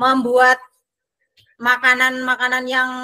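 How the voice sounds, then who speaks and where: The voice is raised and projected, with a bright, sharp tone. It moves at a moderate pace. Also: woman. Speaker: special education teacher. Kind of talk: online training discussion.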